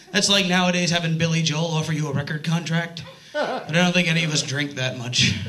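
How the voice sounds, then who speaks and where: A man with a high-pitched voice talks at a fairly quick pace, using ordinary pitch variation. Audible room echo and noticeable background noise fill the recording. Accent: American. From New York area. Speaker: stand-up comedian. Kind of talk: stand-up. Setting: stage with audience. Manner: loud.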